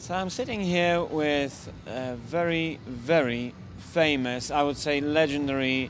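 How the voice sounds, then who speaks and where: Music sounds in the background as a man with a fairly high pitch talks with ordinary pitch variation. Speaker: esports interviewer. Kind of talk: casual interview. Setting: gaming event.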